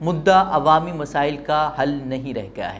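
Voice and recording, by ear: The voice belongs to a man. He speaks with lively intonation.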